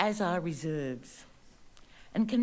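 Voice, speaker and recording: A woman with an Australian accent speaks at a moderate pace with lively intonation. Audible room echo is present. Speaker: local resident. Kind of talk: public statement. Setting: council meeting. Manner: formal.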